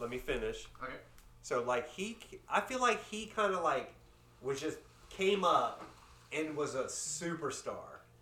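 Through noticeable background noise, a man speaks at a fairly slow pace with long, frequent pauses. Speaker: podcast co-host. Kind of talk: casual chat over beers.

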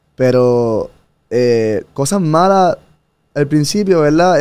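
A man speaks with ordinary pitch variation. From Puerto Rico. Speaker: former engineer, digital nomad traveler. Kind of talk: casual interview chat. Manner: animated.

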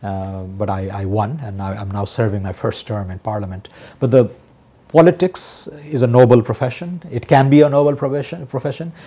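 With a Nepali accent, a man at medium pitch talks at a fairly quick pace in a somewhat breathy, dark and mellow tone, his intonation lively and his loudness swinging widely. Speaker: economist and member of parliament. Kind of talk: TV current affairs interview.

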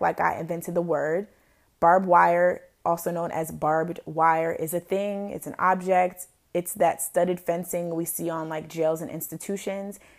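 In a normal speaking voice, a woman with a fairly low pitch talks at a moderate pace with fairly even intonation, on a very clean recording with a silent background. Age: 20s. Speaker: podcast host and blogger. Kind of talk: casual solo podcast monologue. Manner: casual, filler-heavy.

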